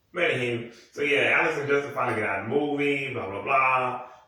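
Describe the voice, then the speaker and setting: A man's voice carries an audible room echo. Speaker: YouTuber. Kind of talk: casual chat. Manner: fast; halting.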